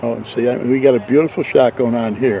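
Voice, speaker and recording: An American-accented man with fairly even intonation, over noticeable background noise. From Waterbury, Connecticut. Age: 80s+. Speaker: local documentary maker. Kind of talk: casual interview. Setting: outdoors in a golf cart. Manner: quiet.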